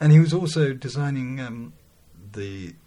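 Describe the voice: Audible room echo surrounds a man's voice. His tone is dark and mellow, with ordinary pitch variation.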